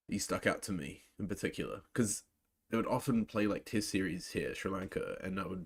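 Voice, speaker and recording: A man talks with a New Zealand accent. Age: 20s. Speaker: cricket live-stream reactor. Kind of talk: live reaction commentary and chat. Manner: casual, filler-heavy.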